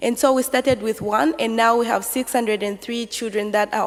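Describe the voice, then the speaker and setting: Amid noticeable background noise, a woman speaks fairly quickly in a fairly high pitch with fairly even intonation. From Zambia. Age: 20s. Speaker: local councillor. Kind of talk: conference talk. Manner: hesitant, many fillers.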